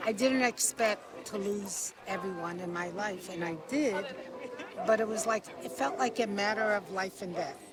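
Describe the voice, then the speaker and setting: A woman with an American accent and a medium pitch speaks at a fairly slow pace with lively intonation and long, frequent pauses. Crowd noise can be heard in the background. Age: 60s. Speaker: interviewee. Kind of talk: street interview. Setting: outdoors.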